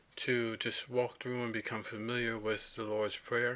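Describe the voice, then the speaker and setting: The man's tone is bright and sharp, and his intonation stays monotone and flat. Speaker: language tutorial presenter. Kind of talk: screen-recorded tutorial. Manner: halting, many fillers.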